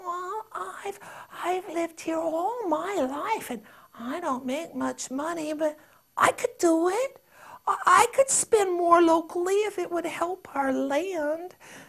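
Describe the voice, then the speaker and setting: Using a squeaky, put-on character voice at an extremely high pitch, a woman speaks at a fairly slow pace with lively intonation. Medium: read story. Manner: hesitant, stammering.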